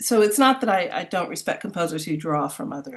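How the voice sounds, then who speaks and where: Her medium-pitched voice swings very widely in pitch as this woman, with an American accent, keeps a moderate pace. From US, Miami and New York. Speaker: composer. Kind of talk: interview. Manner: hesitant, many fillers and repetitions.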